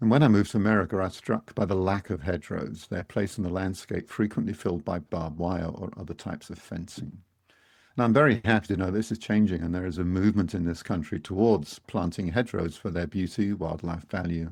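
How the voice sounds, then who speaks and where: A man with a British accent, very deep and low in pitch, talking very fast with ordinary pitch variation over a quiet background. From Britain. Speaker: podcast co-host. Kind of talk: scripted introduction.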